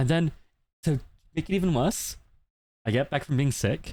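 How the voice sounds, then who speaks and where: Vocal fry runs through a man's speech at a fairly quick pace. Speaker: VTuber streamer. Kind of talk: casual livestream chat. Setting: livestream. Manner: fast; loud.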